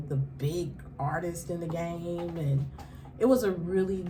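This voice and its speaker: A woman with an American accent speaks at a fairly slow pace and a fairly low pitch. The recording has audible room echo and noticeable background noise. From Kansas City, Missouri. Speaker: radio host and author. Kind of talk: interview.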